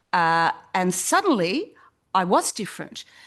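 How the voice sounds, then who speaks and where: A woman with an Australian accent. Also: quiet background. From South Australia, Port Adelaide. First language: not English. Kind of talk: panel discussion. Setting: stage with audience.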